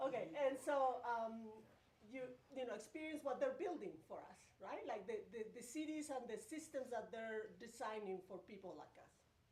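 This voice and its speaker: A woman's high voice at a moderate pace, with audible room echo and noticeable background noise. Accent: Spanish. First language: Spanish. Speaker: pedestrian advocate. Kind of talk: presentation at community meeting.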